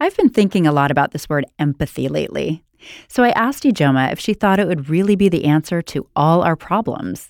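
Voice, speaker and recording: Here a woman speaks at a fairly low pitch in an unremarkable speaking voice. The sound is dry and close, with no echo, on a very clean recording with a silent background. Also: lively intonation. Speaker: podcast host. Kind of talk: interview.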